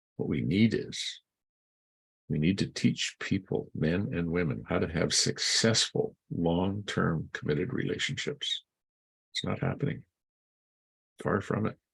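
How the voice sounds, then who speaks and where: This man talks at a fairly slow pace with long, frequent pauses, his very deep, low voice showing vocal fry and very wide pitch swings. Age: 70s. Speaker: vlogger giving commentary. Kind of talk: opinion rant to camera. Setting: outdoors in front of a coffee shop. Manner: animated.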